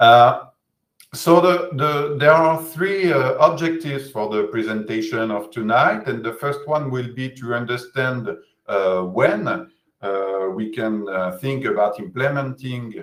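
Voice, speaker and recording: With a French accent, a man speaks fairly slowly at a medium pitch with lively intonation. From France. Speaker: physiotherapist. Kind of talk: lecture. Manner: halting, many hesitations.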